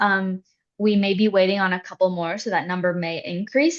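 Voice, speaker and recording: In a Canadian accent, a woman talks with an unremarkable speaking voice, medium in pitch with ordinary pitch variation. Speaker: international student services staff. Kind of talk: information session presentation.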